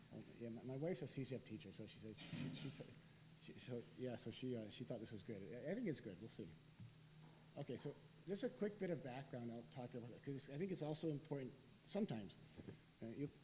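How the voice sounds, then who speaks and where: A man with a dark, mellow, somewhat breathy voice of medium pitch talks very fast with lively intonation. Long, frequent pauses break his speech, and the room echo is audible. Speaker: professor and researcher. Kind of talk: lecture.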